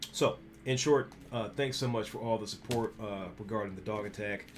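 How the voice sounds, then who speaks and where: A man talks fairly quickly, his pitch varying in an ordinary way, while music plays behind him. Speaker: graphic designer and streamer. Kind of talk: casual vlog talk. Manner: fast; halting with many fillers.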